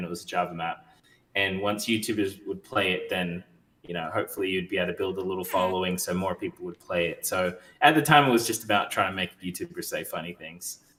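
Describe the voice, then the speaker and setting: Loud and bright, with a sharp tone, a man talks at a fairly quick pace. His pitch is fairly low and his intonation fairly even. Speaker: map creator. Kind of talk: casual chat.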